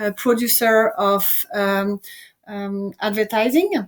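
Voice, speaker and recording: A woman speaks with a French accent. Her intonation stays fairly even. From France. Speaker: entrepreneur and presenter. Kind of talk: online presentation. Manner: halting, many fillers.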